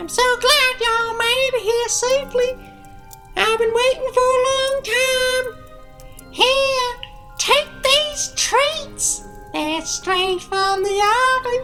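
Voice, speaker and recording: A put-on character voice, squeaky, speaks at a very slow pace with long, frequent pauses and ordinary pitch variation. Clear music plays in the background. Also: woman, extremely high pitch for a woman. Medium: audio drama. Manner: falsely sweet, coaxing.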